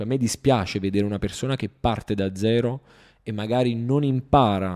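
A man's fairly low, dark, mellow voice at a fairly quick pace, with ordinary pitch variation and a dry, close sound with no echo. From Italy. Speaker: e-commerce entrepreneur and online course creator. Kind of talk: casual interview chat.

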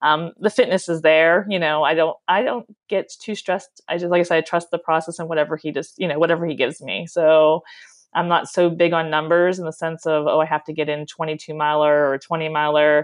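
A woman with an American accent has a plain, everyday voice, fairly low in pitch. Her intonation is fairly even, with hardly any pauses. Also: fairly quick pace. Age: 40s. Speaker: professional marathon runner. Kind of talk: interview. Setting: phone call.

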